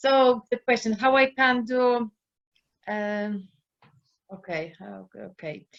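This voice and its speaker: Her pitch shifts in an ordinary way. The woman talks very slowly. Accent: Polish. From Poland. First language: Polish. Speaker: life coach. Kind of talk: casual chat. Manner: halting.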